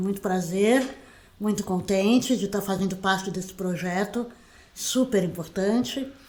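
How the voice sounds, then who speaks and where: Medium in pitch with ordinary pitch variation, a woman talks in an unremarkable speaking voice. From Brazil, Santos (São Paulo state). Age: 60s. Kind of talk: interview. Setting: her own home.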